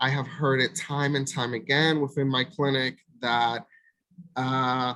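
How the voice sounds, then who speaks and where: A man with a Spanish accent talks fairly slowly at a medium pitch, in a bright, sharp tone. His intonation is monotone and flat, and his loudness stays very even. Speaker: mental health provider. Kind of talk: presentation.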